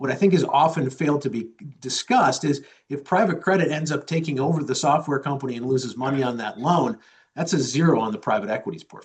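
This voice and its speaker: Speaking at a very fast pace, a man with a fairly high pitch sounds somewhat breathy, his pitch varying in an ordinary way. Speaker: chief investment officer. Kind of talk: interview answers.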